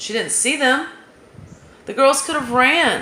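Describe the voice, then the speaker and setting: A woman's raised, projected voice, high in pitch and very slow, with an American accent, amid noticeable background noise and audible room echo. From US South. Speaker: true crime commentator. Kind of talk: casual monologue.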